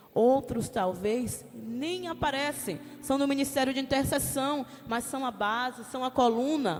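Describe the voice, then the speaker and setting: The voice is loud, with noticeable background noise. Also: woman. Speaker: lay preacher. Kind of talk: sermon. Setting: church.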